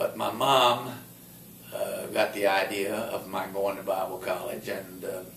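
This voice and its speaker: A man speaks in a South Carolina accent at a fairly slow pace. Noticeable background noise and audible room echo surround him. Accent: Southern US (South Carolina). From US South, South Carolina. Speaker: retired Bible college dean. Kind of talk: life story interview. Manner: halting, many fillers.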